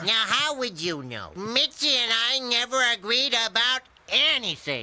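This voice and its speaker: A man's cartoonish character voice, raised and projected, extremely high in pitch with lively intonation. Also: moderate pace. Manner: gruff, cackling.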